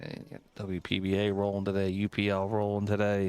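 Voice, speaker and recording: Music plays behind a man who talks at a fairly low pitch in a strong Philadelphia accent. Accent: heavy Philly. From Philadelphia, US. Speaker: pool stream commentator. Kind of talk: live commentary. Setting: live stream from pool room.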